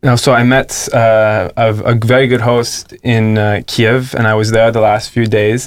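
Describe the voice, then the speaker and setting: Speaking at a very slow pace with hardly any pauses, a man holds a medium pitch with monotone, flat intonation and very even loudness. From Canada. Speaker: nurse and traveller. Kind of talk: interview via interpreter. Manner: hesitant.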